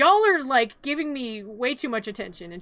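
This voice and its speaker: A woman's put-on character voice, high in pitch. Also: moderate pace. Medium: virtual streamer. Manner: casual slangy paraphrase.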